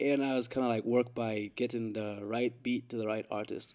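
This man's voice has a dark, mellow tone and medium pitch, moving at a moderate pace. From Zambia, then UK. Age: 20s. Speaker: music producer. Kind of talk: casual chat.

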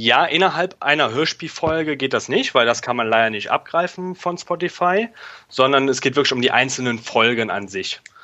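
With a normal speaking voice, a man talks at a moderate pace, his fairly high pitch carried by lively intonation. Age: 20s. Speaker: software developer. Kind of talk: interview.

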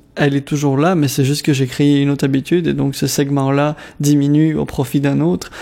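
A man speaks at a fairly high pitch. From DR Congo, Kinshasa (Lebanese family). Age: 20s. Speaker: community organization worker, radio contributor. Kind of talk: personal testimony interview. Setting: radio studio.

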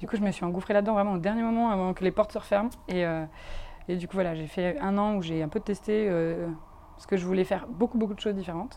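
A woman's dark, mellow voice at medium pitch, very fast in pace, with fairly even intonation. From France. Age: 20s. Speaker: tattoo artist and illustrator. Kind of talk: casual interview. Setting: outdoor garden. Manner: halting.

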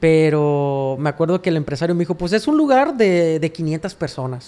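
At a moderate pace comes an unremarkable speaking voice. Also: man. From Mexico, Sinaloa. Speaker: songwriter and singer. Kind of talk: casual interview chat. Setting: his apartment studio.

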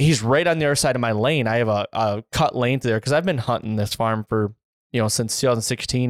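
An unremarkable speaking voice from a man with an American accent, medium pitch and ordinary pitch variation, fairly quick pace, dry, close sound with no echo, very clean recording and silent background. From Central Michigan. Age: 30s. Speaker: deer hunter and podcast host. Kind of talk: casual chat.

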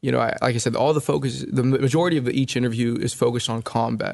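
A man with an American accent talks at a fairly quick pace and medium pitch, with vocal fry and ordinary pitch variation over a quiet background. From California, US. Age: 20s. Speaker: oral historian interviewing war veterans. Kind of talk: interview conversation.

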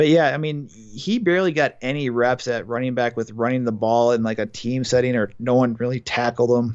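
This man has a Wisconsin accent and a medium pitch with ordinary pitch variation. He moves at a fairly quick pace with hardly any pauses. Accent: Upper Midwest (Wisconsin). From Milwaukee, Wisconsin. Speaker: college football writer. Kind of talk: casual sports chat.

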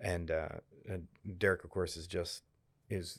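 A man with a gravelly, very deep, low voice speaks in a monotone, flat intonation on a very clean recording with a silent background. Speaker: filmmaker and professor. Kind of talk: casual chat.

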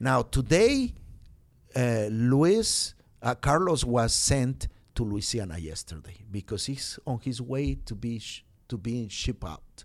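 In a very clean recording with a silent background, a man of medium pitch speaks fairly slowly with a Spanish accent and lively intonation. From Mexico. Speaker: pastor and immigrant rights organizer. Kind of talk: interview. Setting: studio. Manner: halting.

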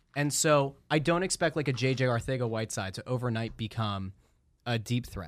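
A man with an American accent and a normal speaking voice, medium in pitch with ordinary pitch variation, at a fairly quick pace on a very clean recording with a silent background. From Schuylkill County, Pennsylvania. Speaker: sports radio host. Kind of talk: casual chat. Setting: studio.

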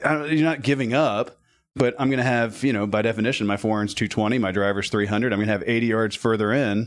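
The background is quiet. An ordinary speaking voice moves at a fairly quick pace with ordinary pitch variation. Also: man, medium pitch for a man. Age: 40s. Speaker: golf performance coach and amateur golfer. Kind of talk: casual interview.

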